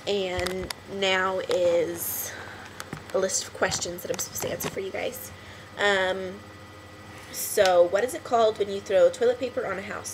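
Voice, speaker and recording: The speech moves at a moderate pace with long, frequent pauses against noticeable background noise. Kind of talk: folksy, casual.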